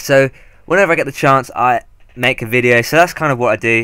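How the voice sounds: A man's clear, smooth, bright and sharp voice at a fairly quick pace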